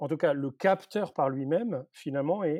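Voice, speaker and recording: A man speaks in a fairly high pitch with a dark, mellow tone and lively intonation. His moderate pace comes through in a dry, close sound with no echo. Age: 50s. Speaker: university professor in robotics. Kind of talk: interview.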